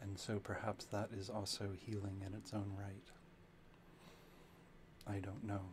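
Soft-spoken and monotone, a man talks at a fairly slow pace with a fairly low pitch and flat intonation.

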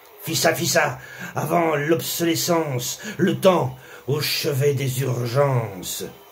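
Against noticeable background noise, a man talks at a very slow pace. His pitch is fairly high, with ordinary variation. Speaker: spoken word poet. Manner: rhythmic, punchy, staccato delivery; biting, sarcastic, angry tone.

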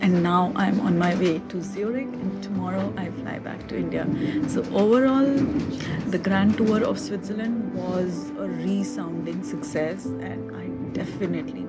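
A woman at a moderate pace over loud background music. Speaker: travel vlogger. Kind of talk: casual vlog chat.

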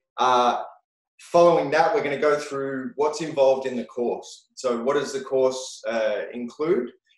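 Against a quiet background with audible room echo, a man with an Australian accent talks at a fairly slow pace with ordinary pitch variation. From Australia, rural New South Wales. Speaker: webinar host, education company founder. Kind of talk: webinar hosting. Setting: video call. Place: office. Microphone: video call.

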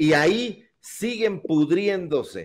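The man's voice is heard with a quiet background. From Mexico. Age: 40s. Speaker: political talk show host. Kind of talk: online political talk show. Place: home room. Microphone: studio mic.

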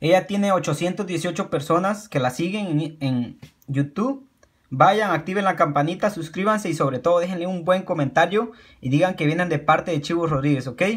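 Speaking at a moderate pace over a quiet background, a man with a high pitch shows ordinary pitch variation. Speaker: YouTube creator. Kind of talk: pitchman promo, channel shout-outs and subscribe appeals. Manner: earnest, encouraging, repetitive, with halting self-corrections; casual, informal, friendly. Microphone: phone near.

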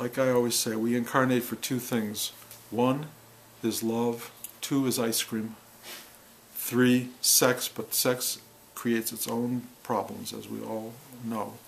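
With light background noise, a man talks in a monotone, flat intonation. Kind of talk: reflective spiritual monologue. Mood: calm, wry, humorous. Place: home room.

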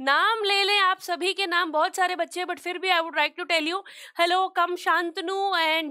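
A woman speaks at a fairly slow pace in a raised, projected voice with a bright, sharp tone against a quiet background. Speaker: online teacher. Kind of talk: lecture. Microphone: headset.

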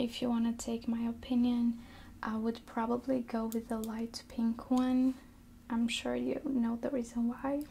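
Whispering and soft-spoken, a woman speaks at a fairly slow pace over light background noise. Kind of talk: ASMR nail salon receptionist roleplay. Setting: roleplay as a nail salon front desk. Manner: soft-spoken, whispery. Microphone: earbuds.

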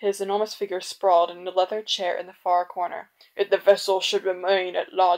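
The text is simply read aloud in a plain way.

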